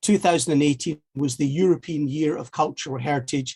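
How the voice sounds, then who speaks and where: A man speaks in a strong Scottish accent, his voice somewhat breathy and fairly high in pitch. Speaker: heritage network initiator. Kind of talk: seminar presentation. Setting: online video seminar. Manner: halting, many fillers and repetitions.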